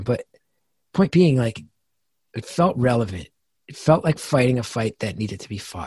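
Speaking at a fairly quick pace, a man uses a medium pitch, lively intonation and a somewhat breathy voice. The sound is dry and close with no echo, against a quiet background. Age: 40s. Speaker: comedian and podcast host. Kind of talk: interview.

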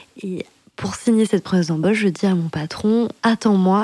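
Her tone is dark and mellow, at a medium pitch. The woman's intonation stays fairly even. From France, Dordogne (Périgueux). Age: 30s. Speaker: podcast guest sharing her life story. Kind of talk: personal storytelling in casual chat. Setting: recording at home over wine.

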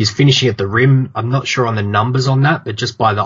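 Fairly even intonation in an Australian accent. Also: man. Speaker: basketball podcaster. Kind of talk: casual sports chat. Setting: remote call.

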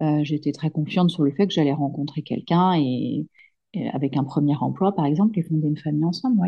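Her voice very deep and low, a woman speaks in a somewhat breathy way with ordinary pitch variation. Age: 30s. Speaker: solo mother sharing her fertility journey. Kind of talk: testimony. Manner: halting, frequent repetitions and hesitations.

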